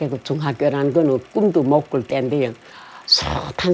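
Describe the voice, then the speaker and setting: A woman speaks at a fairly slow pace in a very deep, low voice with ordinary pitch variation, over noticeable background noise. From Korean-Chinese, Yanbian region of China. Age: 80s+. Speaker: North Korean defector. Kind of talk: life story interview. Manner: halting.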